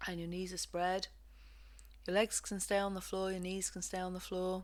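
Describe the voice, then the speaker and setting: This woman has an English accent and a medium pitch, with monotone, flat intonation. She talks at a moderate pace on a very clean recording with a silent background. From England. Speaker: physiotherapist and movement practitioner. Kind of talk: guided movement lesson instructions. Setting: home recording.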